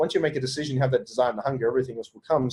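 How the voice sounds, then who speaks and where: A man with an Australian accent talks in a somewhat breathy voice. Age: 30s. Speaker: entrepreneur and business coach. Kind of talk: podcast interview. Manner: fast; animated.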